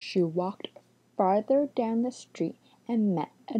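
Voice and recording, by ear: Someone reads a passage out loud. It's done in a natural voice.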